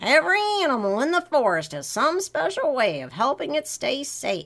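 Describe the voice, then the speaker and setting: In a put-on character voice, a female-sounding speaker talks at a moderate pace with a high pitch for a woman. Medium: read story. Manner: gentle.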